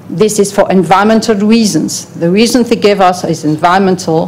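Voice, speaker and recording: A non-native accent at a moderate pace with fairly even intonation, over noticeable background noise. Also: woman. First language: not English. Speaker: European Commission official presenting to an advisory panel. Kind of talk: formal presentation at a public hearing.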